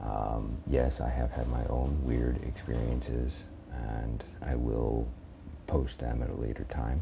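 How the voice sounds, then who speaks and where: A soft-spoken man with a very deep, low pitch, fairly slow and fairly even in intonation, with audible room echo and noticeable background noise. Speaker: horror story narrator and channel host. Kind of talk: casual channel update. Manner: halting. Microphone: headphone mic plugged into phone.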